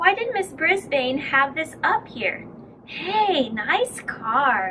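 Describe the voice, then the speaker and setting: Putting on a character voice, a woman talks very slowly at a high pitch with very wide pitch swings, with clear background noise behind her. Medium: read story. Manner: casual, easygoing.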